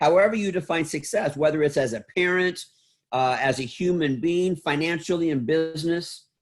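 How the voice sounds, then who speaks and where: A man with a fairly high pitch, a normal speaking voice and ordinary pitch variation at a moderate pace, on a very clean recording with a silent background. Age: 60s. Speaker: salon school founder and motivational speaker. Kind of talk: podcast interview.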